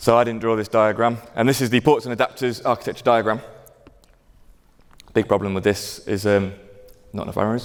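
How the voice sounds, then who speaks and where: Talking at a fairly quick pace, a man uses monotone, flat intonation and breaks off with long, frequent pauses. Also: medium pitch for a man. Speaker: conference speaker, software engineer. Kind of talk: conference talk. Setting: lecture theatre with audience. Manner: fast.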